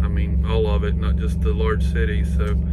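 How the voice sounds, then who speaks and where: A man's fairly quick speech comes through loud background noise. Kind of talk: casual vlog chat. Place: home room. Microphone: phone near.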